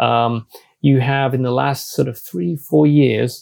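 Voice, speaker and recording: A man's medium-pitched voice with a British accent, fairly slow pace, and dry, close sound with no echo. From UK. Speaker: energy analyst and journalist. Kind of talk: interview.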